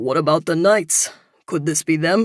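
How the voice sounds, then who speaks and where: A put-on character voice sits at a middle pitch with a serious tone. It moves at a moderate pace. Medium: read story. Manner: plain-spoken, serious.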